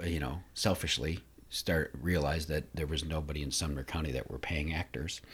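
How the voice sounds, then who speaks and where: Over a very clean recording with a silent background, a man speaks at a moderate pace with a very deep, low pitch and vocal fry. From northern US. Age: old. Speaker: community theater director, former children's pastor. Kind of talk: interview.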